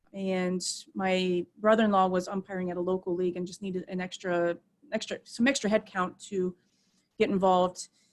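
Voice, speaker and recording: A woman with a Midwestern US accent, medium pitch and a moderate pace. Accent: US Midwest. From Ohio, Akron. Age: 30s. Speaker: softball umpire. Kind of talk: interview.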